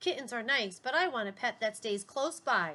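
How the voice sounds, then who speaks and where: A female-sounding voice does a put-on character at a fairly high pitch. The pace is moderate. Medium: read story. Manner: polite.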